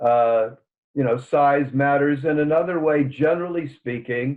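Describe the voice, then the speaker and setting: A man with a normal speaking voice talks at a fairly high pitch and moderate pace, his intonation fairly even. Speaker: author and psychotherapist. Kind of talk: podcast interview.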